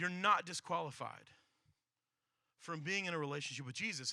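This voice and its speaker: A man's bright, sharp tone at a fairly quick pace, with ordinary pitch variation. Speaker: pastor. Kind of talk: sermon. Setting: church service with audience. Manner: fast.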